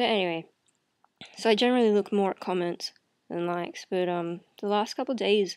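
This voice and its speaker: A soft-spoken woman talks at a fairly quick pace with ordinary pitch variation against a quiet background. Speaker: video blogger. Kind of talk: casual vlog chat. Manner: soft, drowsy bedtime talk. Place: home room. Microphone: webcam.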